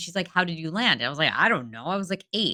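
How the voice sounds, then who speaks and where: Against a very clean recording with a silent background, a woman speaks loudly in an animated, bright, sharp tone. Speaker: dentist, podcast co-host. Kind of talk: casual chat.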